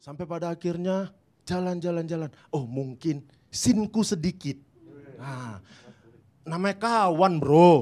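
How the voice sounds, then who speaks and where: Fairly slow with long, frequent pauses, a man speaks in a high pitch with a dark, mellow tone, ordinary pitch variation and big swings in loudness. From Indonesia, North Sumatra (Batak, Medan). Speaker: stand-up comedian. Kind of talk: stand-up.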